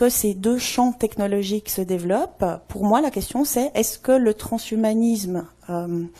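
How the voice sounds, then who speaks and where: With a Swiss accent, a woman speaks at a very slow pace in a dark, mellow tone, fairly high in pitch with ordinary pitch variation. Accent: Swiss French, noticeable. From Switzerland. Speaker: anthropologist. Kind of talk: conference talk. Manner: many filler hesitations.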